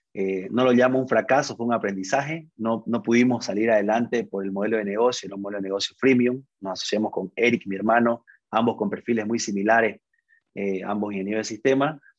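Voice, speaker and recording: A man speaks at a medium pitch and a fairly quick pace. His intonation stays fairly even. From Bolivia, Santa Cruz. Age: 30s. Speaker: tech startup CEO. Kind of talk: interview. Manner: halting, frequent repetitions.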